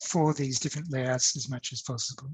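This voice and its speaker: The voice is somewhat breathy. The sound is dry with no echo. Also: man. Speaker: academic speaker on digital humanities; presenter. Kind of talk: conference talk with screen demo. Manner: hesitant, many fillers. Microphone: webcam.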